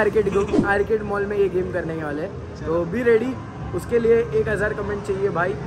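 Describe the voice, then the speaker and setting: Noticeable background noise runs behind the recording. A man speaks at a moderate pace. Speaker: vlogger. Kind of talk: casual vlog chat. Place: shop. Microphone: phone near.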